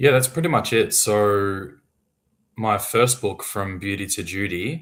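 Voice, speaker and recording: This man speaks with an Australian accent at a very slow pace. His pitch sits fairly low. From Australia, Melbourne. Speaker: author. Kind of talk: casual interview.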